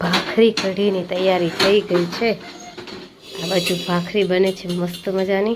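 The voice stays monotone and flat over noticeable background noise. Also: woman, medium pitch for a woman. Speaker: family vlogger. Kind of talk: casual vlog narration.

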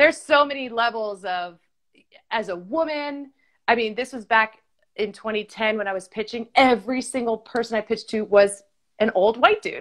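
An animated voice moves at a moderate pace, with big swings in loudness. The background is quiet. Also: woman, fairly high pitch for a woman, ordinary pitch variation. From US Northeast (Stamford, Connecticut); US Northeast. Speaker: TV host and professional dancer; TV host. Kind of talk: casual chat. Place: home room. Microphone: video call.

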